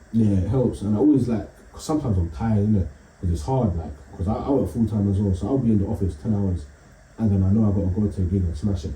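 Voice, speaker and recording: Over audible room echo, a man with a London accent talks very fast in a fairly low, somewhat breathy voice with lively intonation. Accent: London, multicultural London English. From East London. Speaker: comedian. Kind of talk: casual chat.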